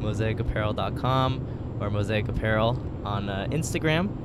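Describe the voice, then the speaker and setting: Loud background noise around a dry sound with no echo. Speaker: podcast co-host. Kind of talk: casual chat. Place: car. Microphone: handheld.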